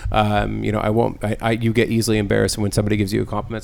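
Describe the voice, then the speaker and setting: A man rushes through his words at a very fast pace, noticeable background noise behind him. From San Diego. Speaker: podcast host. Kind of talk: casual chat. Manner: loud, animated.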